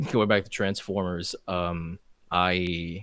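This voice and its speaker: The pace is very slow as a man speaks in a bright, sharp tone. The recording is very clean and the background silent. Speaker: animator and voice actor. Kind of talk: casual chat. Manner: halting, many fillers and restarts.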